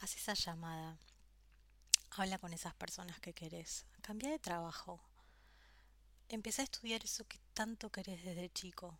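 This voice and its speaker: Her pitch sits in the medium range for a woman, with ordinary variation. She talks at a moderate pace with long, frequent pauses. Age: 30s. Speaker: podcast host. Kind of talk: personal monologue. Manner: hesitant.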